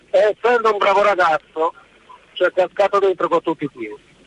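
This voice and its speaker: A man talks at a high pitch. The sound is dry and close with no echo, over noticeable background noise. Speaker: radio caller, former competitive athlete. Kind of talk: radio call-in.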